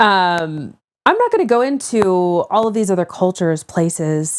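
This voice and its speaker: A woman at a fairly low pitch with a strong American accent, fairly slow in pace, on a very clean recording with a silent background. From United States. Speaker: humanitarian aid worker, art therapist. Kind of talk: casual interview.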